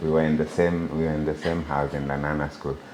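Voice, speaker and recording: A man with a very deep, low pitch at a fairly quick pace, with audible room echo. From Kenya, Bomet (Kalenjin tea region). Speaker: software engineer. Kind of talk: interview conversation.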